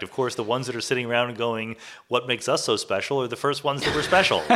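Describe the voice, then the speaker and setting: A man speaks with a bright, sharp tone and ordinary pitch variation. The recording is very clean, with a silent background. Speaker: cosmologist and physics professor. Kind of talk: interview conversation about science and philosophy.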